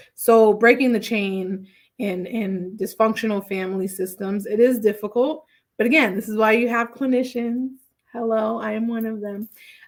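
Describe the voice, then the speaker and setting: A woman with a plain, everyday voice speaks at a moderate pace. Her pitch is fairly high and her intonation fairly even. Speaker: therapist. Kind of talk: casual livestream talk.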